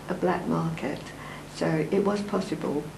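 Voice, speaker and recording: A woman is speaking. There is audible room echo and noticeable background noise. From East London. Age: 80s+. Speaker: elderly interviewee recalling history. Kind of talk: interview reminiscence.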